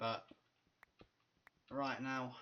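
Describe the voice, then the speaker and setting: A man in a British accent speaks at a very slow pace. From Britain. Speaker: gaming YouTuber. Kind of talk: casual gameplay commentary. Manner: casual, profane.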